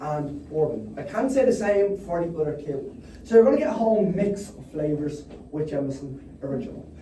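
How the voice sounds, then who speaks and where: A strong Dublin accent over noticeable background noise. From Ireland, Dublin. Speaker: distillery tour guide. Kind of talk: guided tasting tour talk. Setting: distillery tasting room with tour group. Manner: lively, engaging.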